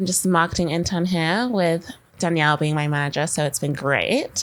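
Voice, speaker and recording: Fairly quick and fairly low in pitch, a woman's voice moves with ordinary pitch variation on a very clean recording with a silent background. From England, then Canada from age 13. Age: 20s. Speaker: marketing intern. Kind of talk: casual chat. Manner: casual, lots of fillers.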